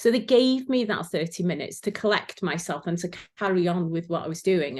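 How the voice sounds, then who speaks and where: Against a quiet background, a woman speaks at a moderate pace with a Welsh accent. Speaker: former sewing competition finalist. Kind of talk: casual chat.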